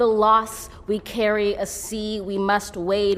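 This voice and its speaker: Over noticeable background noise, a woman with an American accent speaks very slowly at a medium pitch. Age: 20s. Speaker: poet. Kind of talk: poetry reading. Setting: outdoors.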